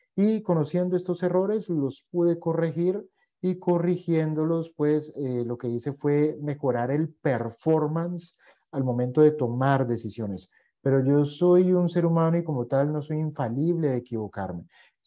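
Against a quiet background, a man talks at a fairly slow pace with a dark, mellow tone. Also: fairly high pitch for a man, ordinary pitch variation. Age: 40s. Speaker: investment educator. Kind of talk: online masterclass lecture; lecture. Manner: hesitant, frequent fillers. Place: home room.

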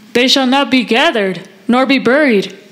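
Against noticeable background noise, a woman with a high pitch speaks at a moderate pace. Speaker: class member. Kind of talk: reading aloud.

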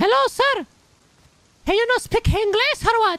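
Putting on a character voice with an Italian accent, a man speaks at an extremely high pitch and a moderate pace. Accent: imitated Italian.

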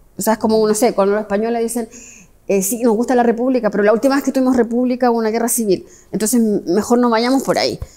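Against a quiet background, a woman speaks very fast in a fairly high pitch with fairly even intonation. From Chile. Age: 50s. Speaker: history professor. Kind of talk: interview. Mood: reflective, earnest. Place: hall.

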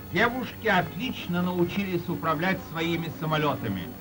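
Over clear background music, a man speaks at a moderate pace with a high pitch and ordinary pitch variation. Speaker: newsreel announcer. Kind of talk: 1930s Soviet newsreel narration. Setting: old archival film soundtrack. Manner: formal, declamatory. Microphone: old recording.

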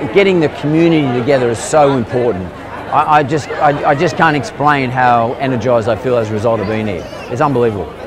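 Crowd noise fills the background as a man talks at a very fast pace, the sound dry with no echo. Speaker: vlogger host. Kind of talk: casual vlog chat. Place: market.

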